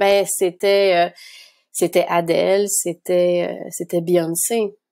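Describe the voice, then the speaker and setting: A woman speaking at a very slow pace, on a very clean recording with a silent background. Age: 30s. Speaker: documentary filmmaker. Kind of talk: interview.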